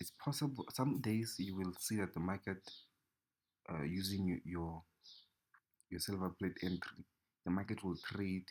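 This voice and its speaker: Over a very clean recording with a silent background, a man with a non-native accent speaks at a moderate pace in a very deep, low pitch, using ordinary pitch variation and long, frequent pauses. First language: not English. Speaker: trading educator. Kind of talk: tutorial. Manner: halting.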